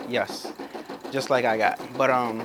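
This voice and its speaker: Amid noticeable background noise, a man talks in an animated tone at a medium pitch. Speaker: YouTuber demonstrating machine embroidery. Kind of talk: tutorial. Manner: fast; casual, animated.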